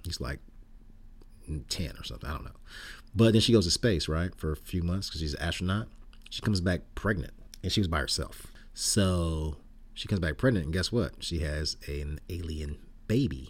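A man with an American accent speaks at a moderate pace in a very deep, low voice with vocal fry. His intonation is lively, broken by long, frequent pauses. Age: 60s. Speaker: podcast host. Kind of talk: casual chat. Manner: casual, laid-back.

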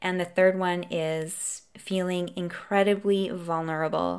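A normal speaking voice from a woman, fairly low in pitch, at a fairly slow pace with fairly even intonation, on a very clean recording with a silent background. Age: 40s. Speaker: podcast host, coach. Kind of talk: solo podcast monologue.

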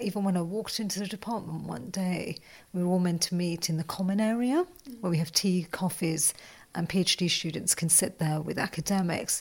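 Medium-pitched, somewhat breathy speech from a woman at a moderate pace. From West Midlands, England. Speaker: geography lecturer and college tutor. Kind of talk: interview.

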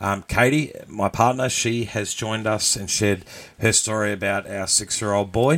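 With an unremarkable speaking voice, a man talks at a moderate pace in a fairly low pitch with fairly even intonation. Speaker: podcast host. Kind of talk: live-streamed radio-style banter, with a mock news segment. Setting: live show with audience, streamed online. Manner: playful, bantering, ad-libbing.

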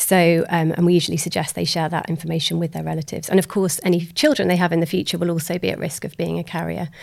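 With hardly any pauses, a woman speaks at a very fast pace in a fairly low pitch, her monotone, flat intonation carrying vocal fry. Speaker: genetic counselor. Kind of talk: casual interview.

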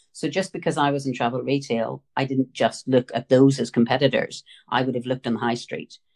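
A woman with a Northern Irish accent talks at a fairly quick pace in a very deep, low pitch with fairly even intonation, the sound dry and close with no echo. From Northern Ireland. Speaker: retail buying consultant. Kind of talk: interview.

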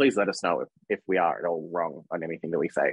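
A man talks fairly quickly in an Australian accent. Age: 30s. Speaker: podcast co-host. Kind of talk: casual chat.

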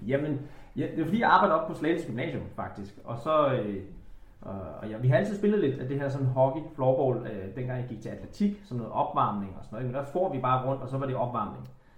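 At a fairly quick pace, a man with a medium pitch speaks with lively intonation and big swings in loudness, with audible room echo around him. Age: 30s. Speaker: former floorball and hockey player. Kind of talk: casual interview chat.

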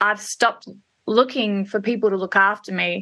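With an Australian accent, a woman talks at a moderate pace in a fairly high pitch, her tone bright and sharp and her intonation flat and monotone. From Australia, Perth and Melbourne. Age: 30s. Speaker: hairdresser and salon owner. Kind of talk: casual interview.

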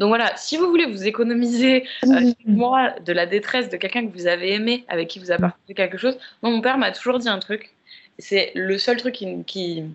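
An ordinary speaking voice from a woman, fairly high in pitch, at a moderate pace with ordinary pitch variation. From Paris, France. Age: 30s. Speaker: podcast guest. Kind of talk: casual chat.

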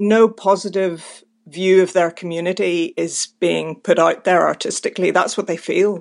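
A woman with a Belfast accent talks in a monotone, flat way with hardly any pauses. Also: medium pitch for a woman, moderate pace. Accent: Belfast Northern Irish. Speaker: writer and playwright. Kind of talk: interview.

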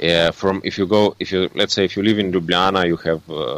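A man with a Slovene accent speaks at a fairly quick pace with fairly even intonation. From Slovenia. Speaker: landscape photographer and photo tour guide. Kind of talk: casual interview. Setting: remote call. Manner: halting, with many fillers.

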